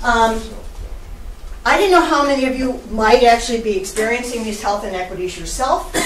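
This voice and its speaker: A woman's fairly high, lively voice with an American accent at a fairly quick pace, amid noticeable background noise and audible room echo. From Maryland. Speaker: professor and panelist. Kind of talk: panel presentation. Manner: fast.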